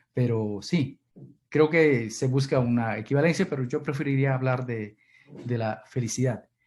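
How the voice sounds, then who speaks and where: At a fairly slow pace, a man talks at a medium pitch with ordinary pitch variation. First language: Kichwa (runashimi) (speaking Spanish). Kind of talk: Q&A answer in online seminar. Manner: halting, many repetitions.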